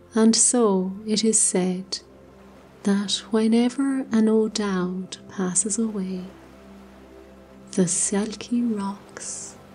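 Music plays behind a woman speaking very slowly, with long, frequent pauses. Her pitch is medium and her intonation fairly even. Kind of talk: sleep story. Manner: soft-spoken, slow.

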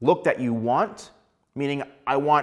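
Speaking at a moderate pace, a man uses ordinary pitch variation. The background is quiet. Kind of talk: tutorial. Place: studio. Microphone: lapel.

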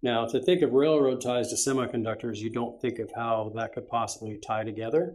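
Against a quiet background, a man speaks at a fairly quick pace with a medium pitch and fairly even intonation. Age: 60s. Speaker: guest. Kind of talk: interview. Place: meeting room.

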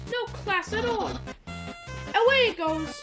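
A put-on character voice is heard with clear music in the background. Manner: goofy, haughty.

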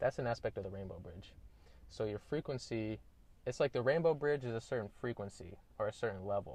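A man's voice with ordinary pitch variation, dry and free of echo. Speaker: vlogger. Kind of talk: casual vlog chat. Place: car. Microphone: earbuds.

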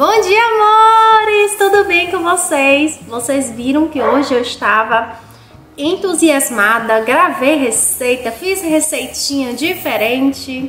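Faint music plays in the background, and the room echo is audible. A woman speaks at a very slow pace. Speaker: home vlogger. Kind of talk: casual vlog chat. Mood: cheerful, upbeat. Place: home room. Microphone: phone near.

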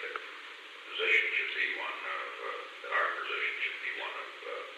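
Strong room echo and noticeable background noise around a man speaking at a moderate pace. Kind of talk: private conversation. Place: office. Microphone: old recording.

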